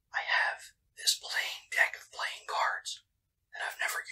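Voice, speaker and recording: A man speaks in a whisper. His pace is fairly slow. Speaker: ASMR creator. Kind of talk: ASMR whispering. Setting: home, indoors. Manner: whispered. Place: home room.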